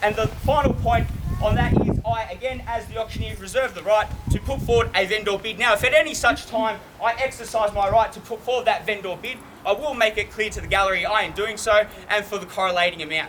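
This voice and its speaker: Very fast and confident, a man speaks at a high pitch with ordinary pitch variation. Noticeable background noise runs behind him. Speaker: auctioneer. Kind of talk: auction opening and terms and conditions address. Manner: confident, witty, projecting to a crowd.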